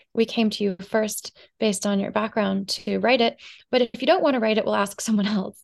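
In a dry, close recording with no echo, a woman with an unremarkable speaking voice talks at a fairly quick pace, her fairly high pitch moving in a fairly even intonation. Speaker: marketing agency founder and author. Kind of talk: casual interview chat.

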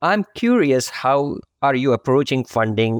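A medium-pitched man with an Indian accent at a fairly slow pace, a dry, close sound with no echo, and a quiet background. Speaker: podcast host, accounting firm practice leader. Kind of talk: interview.

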